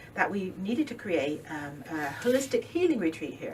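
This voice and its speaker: A woman speaks with lively intonation over noticeable background noise. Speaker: holistic business owner. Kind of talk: interview. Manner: fast; animated.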